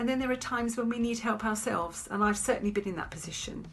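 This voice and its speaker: At a fairly quick pace, the speech runs on while music plays in the background. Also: woman. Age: 70s. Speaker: community volunteer. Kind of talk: interview testimony.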